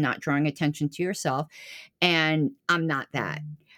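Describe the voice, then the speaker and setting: A woman with an American accent speaks in an ordinary speaking voice at a moderate pace, her intonation fairly even, on a very clean recording with a silent background and a dry, close sound with no echo. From Florida, US. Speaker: political party official. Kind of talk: interview conversation.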